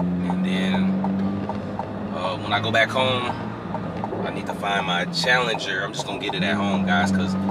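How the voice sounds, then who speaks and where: The delivery holds a moderate pace and ordinary pitch variation. Music runs in the background. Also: man. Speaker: car vlogger. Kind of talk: casual vlog chat. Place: car. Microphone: phone near.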